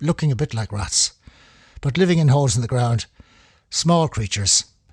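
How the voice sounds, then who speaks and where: A man with a Dublin accent talks at a moderate pace in a fairly high voice, somewhat breathy and with lively intonation, on a very clean recording with a silent background and a dry, close sound with no echo. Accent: Irish (Dublin). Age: 70s. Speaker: amateur paleoanthropology enthusiast. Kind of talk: informal talk. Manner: halting.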